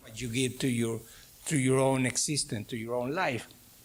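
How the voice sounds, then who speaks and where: A man speaks with a Mexican accent. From Mexico. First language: Spanish. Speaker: professor. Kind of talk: lecture. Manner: halting.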